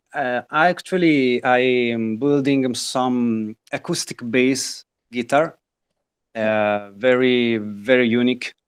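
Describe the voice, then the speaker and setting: In an Italian accent, a man speaks very slowly at a medium pitch with ordinary pitch variation. The sound is dry and close with no echo, on a very clean recording with a silent background. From northern Italy. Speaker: guitar maker. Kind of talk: interview. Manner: halting, many fillers.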